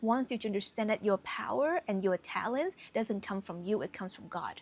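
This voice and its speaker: This woman has a slight non-native accent and ordinary pitch variation, recorded with a dry, close sound and no echo. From Canada, Vietnamese-born immigrant. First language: Vietnamese. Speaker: spiritual coach. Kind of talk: motivational talk to camera. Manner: casual with many fillers.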